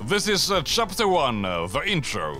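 Very wide pitch swings mark a man's moderately paced talk, set against background music. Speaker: video essay narrator. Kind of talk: video essay narration.

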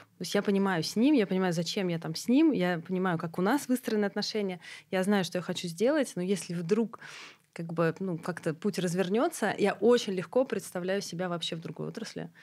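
With ordinary pitch variation, a woman talks at a fairly quick pace over a quiet background. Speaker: clinic network CEO. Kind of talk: casual chat. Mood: calm, reflective. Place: studio. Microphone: studio mic.

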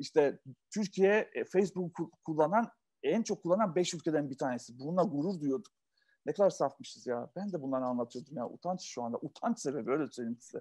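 A man with a dark, mellow tone talks at a fairly quick pace. His intonation is lively, and the background is quiet. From Yugoslavia, Turkish minority. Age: 40s. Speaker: entrepreneur; interview guest. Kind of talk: interview answer. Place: home room. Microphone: video call.

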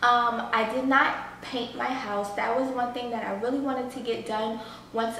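Audible room echo and light background noise surround a woman speaking. Her pace is moderate, her intonation monotone and flat. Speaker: home vlogger. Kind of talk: casual vlog chat. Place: home room.

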